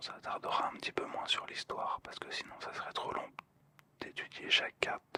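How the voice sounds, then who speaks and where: Whispering in a calm, gentle tone at a fairly slow pace, amid noticeable background noise. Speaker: ASMR content creator, manga and DBZ card collector. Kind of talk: ASMR-style relaxing talk to camera, channel review. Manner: soft-spoken, calm, gentle, relaxing.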